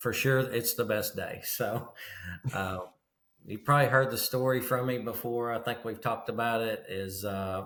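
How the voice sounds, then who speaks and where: Fairly slow, fairly even speech in a Kentucky accent. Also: man. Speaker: mattress retailer and business coach. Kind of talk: casual interview.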